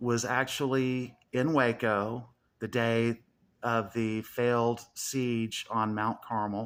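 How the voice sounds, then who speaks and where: A man with a Southern accent speaks at a very slow pace and medium pitch, in a monotone, flat intonation. The recording is very clean, with a silent background. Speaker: YouTuber. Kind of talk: casual monologue.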